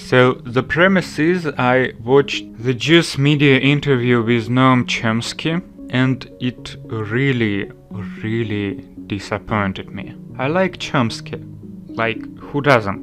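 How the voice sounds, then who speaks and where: A man's very slow, lively speech at medium pitch with a non-native accent, over background music. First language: Russian. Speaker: political commentator. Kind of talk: vlog monologue. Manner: casual, filler-heavy.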